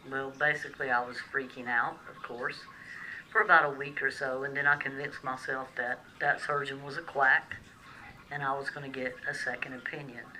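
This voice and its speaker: A woman with a Southern US accent speaks fairly quickly in a very deep, low voice, her intonation fairly even but her loudness swinging widely, over noticeable background noise. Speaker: vlogger sharing personal medical experience. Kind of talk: personal vlog testimony. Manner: hesitant, frequent fillers.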